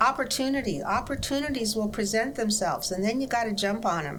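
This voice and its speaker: A woman at a medium pitch and moderate pace, with audible room echo. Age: 80s+. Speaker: pastor. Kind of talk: interview.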